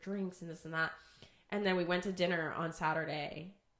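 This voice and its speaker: Amid noticeable background noise, a woman with a fairly low pitch speaks very fast. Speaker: podcast co-host. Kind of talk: casual chat. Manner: animated.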